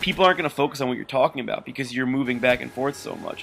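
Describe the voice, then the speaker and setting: The voice belongs to a man. It is fairly high in pitch. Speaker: gaming commentator. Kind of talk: gameplay commentary. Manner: fast.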